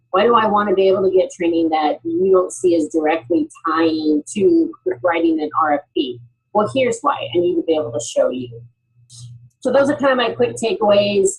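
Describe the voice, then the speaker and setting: A woman's somewhat breathy voice at medium pitch and moderate pace, with very wide pitch swings. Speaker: HR talent development executive. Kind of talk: panel presentation.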